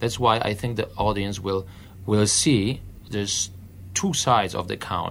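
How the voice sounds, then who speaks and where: Fairly low in pitch with ordinary variation, a man speaks with a Polish accent. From Poland. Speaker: opera singer. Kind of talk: interview.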